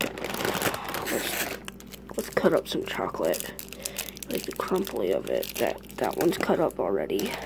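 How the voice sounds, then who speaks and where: Delivered at a fairly slow pace, the voice carries a playful tone over noticeable background noise. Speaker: ASMR maker. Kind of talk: asmr whisper. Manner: playful, coaxing, directly addressing viewers. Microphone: phone near.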